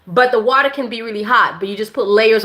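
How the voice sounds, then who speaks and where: The voice is loud, with a bright, sharp tone and a moderate pace. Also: woman. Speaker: women's health and herbal wellness educator. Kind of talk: live-stream Q&A. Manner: casual, halting with many fillers.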